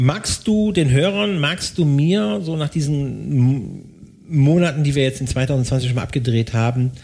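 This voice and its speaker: The tone is dark and mellow, somewhat breathy, with very wide pitch swings. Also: man. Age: old. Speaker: podcast co-host, tax/IT audit consultant. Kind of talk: casual chat.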